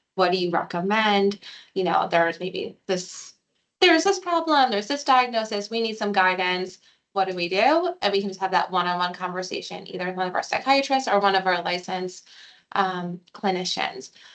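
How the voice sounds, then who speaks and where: A woman has an unremarkable speaking voice at medium pitch. She moves at a fairly quick pace with ordinary pitch variation. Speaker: psychiatric consultation program staff. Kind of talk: informational presentation.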